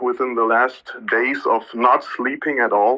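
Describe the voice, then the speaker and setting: A man speaks with a German accent. Noticeable background noise is present. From Germany. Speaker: audience member asking questions. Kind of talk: casual Q&A.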